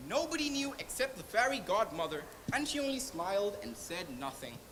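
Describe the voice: A woman speaks with lively intonation and a fairly high pitch, at a moderate pace. Faint background noise can be heard. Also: fairly bright tone.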